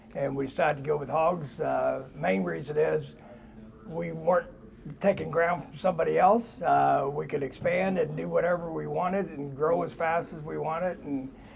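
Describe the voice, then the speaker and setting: This is a man with a Midwestern US accent. Background noise is noticeable. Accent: US Midwest. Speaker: pig farmer. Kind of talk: interview. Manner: halting.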